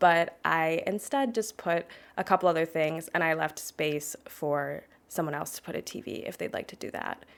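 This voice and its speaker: Soft-spoken, a woman talks at a moderate pace with fairly low pitch, ordinary pitch variation and big swings in loudness, on a very clean recording with a silent background. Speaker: gaming video creator. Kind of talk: voiceover commentary on a game build. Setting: home apartment. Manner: quiet, soft-spoken; casual, conversational.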